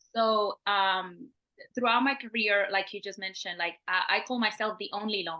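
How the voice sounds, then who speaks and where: A woman speaks with a Puerto Rican accent. Her pitch varies in an ordinary way. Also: medium pitch for a woman, moderate pace. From Puerto Rico (San Juan). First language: Spanish. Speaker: engineer and government program leader. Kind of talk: interview. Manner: halting.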